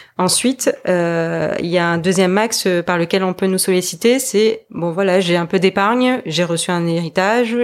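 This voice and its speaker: A woman is speaking at a fairly slow pace. Her pitch moves with ordinary variation. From French Polynesia (Tahiti). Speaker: wealth management advisor. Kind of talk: interview. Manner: halting.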